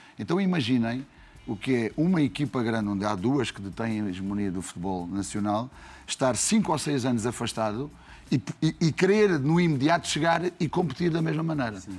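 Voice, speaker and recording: In a European Portuguese accent, a man talks at a fairly quick pace and medium pitch with very wide pitch swings, on a very clean recording with a silent background. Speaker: football coach. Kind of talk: casual chat.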